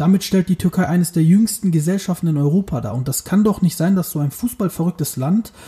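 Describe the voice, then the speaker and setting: This man's voice has a dark, mellow tone and a high pitch. Its pitch varies in an ordinary way. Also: dry, close sound with no echo. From northern Germany, Bremen. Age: 30s. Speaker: football podcast co-host. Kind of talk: casual chat. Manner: animated.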